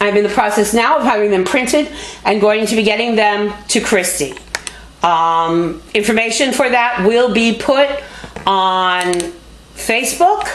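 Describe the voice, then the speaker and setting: A woman with a fairly high pitch talks at a fairly slow pace, with ordinary pitch variation and very even loudness, over noticeable background noise and audible room echo. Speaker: public access show host and nurse. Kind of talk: appeal for support. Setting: motel room.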